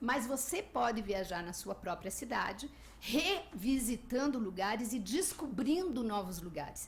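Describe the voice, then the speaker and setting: Through noticeable background noise and audible room echo, a woman with a fairly high pitch speaks at a moderate pace with lively intonation. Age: 60s. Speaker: travel podcaster and blogger. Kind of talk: radio interview.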